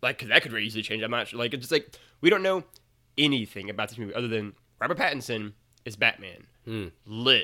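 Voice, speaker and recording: Fast-talking at a very fast pace, a man with an American accent uses lively intonation, a bright, sharp tone and a medium pitch. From Missouri, US. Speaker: writer and podcaster. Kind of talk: casual chat. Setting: remote call.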